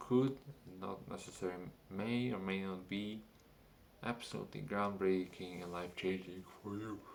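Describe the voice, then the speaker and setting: With a non-native accent, a man speaks at a fairly slow pace and fairly low pitch, his intonation fairly even amid audible room echo. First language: not English. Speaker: vlogger. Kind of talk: casual monologue. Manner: halting.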